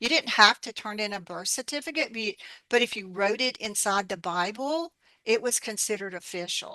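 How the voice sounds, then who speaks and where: A woman's fairly high, bright, sharp voice with an American accent, lively intonation and a moderate pace, dry and close with no echo against a quiet background. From Appalachia, US South (Alabama). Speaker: herbalist and author. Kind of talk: interview. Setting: radio interview.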